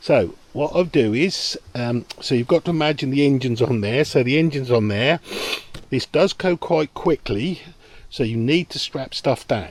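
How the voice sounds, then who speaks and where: A man with a British accent and a fairly high pitch at a moderate pace with ordinary pitch variation, the sound dry and close with no echo. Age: 60s. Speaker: boating video creator. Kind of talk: tutorial. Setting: outdoors. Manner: casual, hesitant with fillers.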